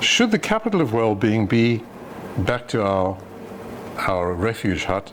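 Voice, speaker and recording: With clear noise behind him, a man talks in a mid-range pitch that varies in an ordinary way. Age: old. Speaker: retired doctor giving a philosophy talk. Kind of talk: lecture with audience discussion.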